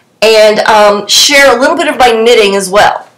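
A woman speaks at a fairly slow pace with lively intonation. Her fairly bright tone sits at a fairly high pitch amid audible room echo.

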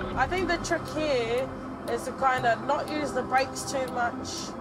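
A woman talks at a fairly slow pace. Loud background noise runs beneath her voice. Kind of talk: casual commentary while driving. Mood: tense but calm. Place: car.

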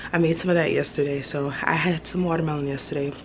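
The pace is fairly quick and the intonation fairly even. Background noise is clearly audible. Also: woman.

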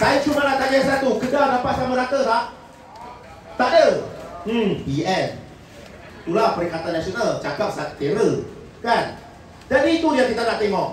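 A man talks at a moderate pace with long, frequent pauses, heard through audible room echo and light background noise. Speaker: politician. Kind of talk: political rally speech. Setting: stage with audience. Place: hall.

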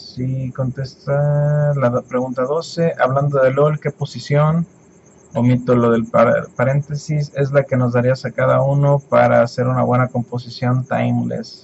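Speech at a fairly slow pace, somewhat breathy, with a monotone, flat intonation. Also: man, medium pitch for a man. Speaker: YouTuber. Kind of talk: Q&A vlog. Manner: halting.

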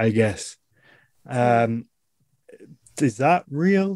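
In a Yorkshire accent, a man speaks in a dry sound with no echo over a quiet background. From northern England. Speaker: podcast host and business owner; podcast host. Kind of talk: casual chat. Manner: animated. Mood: relaxed, laughing. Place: home room. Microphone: video call.

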